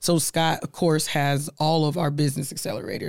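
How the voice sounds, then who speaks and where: Speaking in an animated tone at a fairly quick pace, a woman with an American accent has a very deep, low pitch. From US Midwest, Omaha, Nebraska. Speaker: diversity and inclusion executive. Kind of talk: interview.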